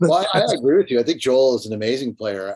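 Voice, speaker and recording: A man with a slight Rochester accent. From Rochester, western New York. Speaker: rock guitarist. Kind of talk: casual interview.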